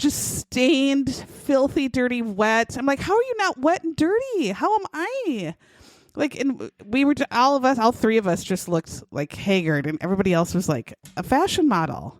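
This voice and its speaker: A woman with a Minnesota accent speaks at a high pitch with very wide pitch swings. Her tone is animated and her pace moderate. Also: dry, close sound with no echo. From southern Minnesota. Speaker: podcast co-host. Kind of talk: casual chat.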